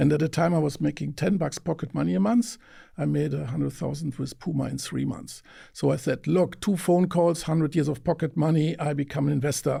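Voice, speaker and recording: A man with a fairly high pitch, a dark, mellow tone and vocal fry speaks with ordinary pitch variation in a German accent, on a very clean recording with a silent background. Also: fairly quick pace. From Germany, countryside near Mönchengladbach. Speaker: venture investor. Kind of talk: interview. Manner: halting, with fillers and repetitions.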